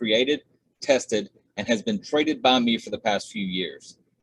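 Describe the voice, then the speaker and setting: In a strong Southern US accent, a man speaks at a fairly quick pace with lively intonation. His pitch is medium, and the sound is dry and close with no echo. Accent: heavy Southern US. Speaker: trading indicator developer. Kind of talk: tutorial. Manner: filler-heavy, many uhs.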